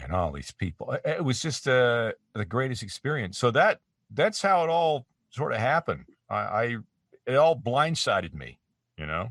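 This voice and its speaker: A man's medium-pitched voice with vocal fry, very wide pitch swings and big swings in loudness, at a moderate pace, in a very clean recording with a silent background and a dry, close sound with no echo. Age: 50s. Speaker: voice actor. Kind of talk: interview. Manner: halting.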